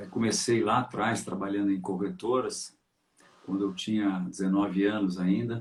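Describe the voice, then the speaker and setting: A man speaks at a moderate pace in a fairly low voice with ordinary pitch variation. His loudness stays very even. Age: 60s. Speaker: market analyst, trader. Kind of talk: interview, career story. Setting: live stream. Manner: halting, many fillers.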